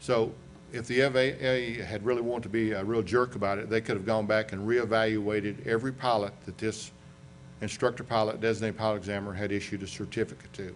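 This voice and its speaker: Fairly low-pitched man with a Southern US accent, very fast pace, monotone, flat intonation and audible room echo. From US South, western North Carolina. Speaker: aviation accident investigator. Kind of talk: lecture. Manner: conversational.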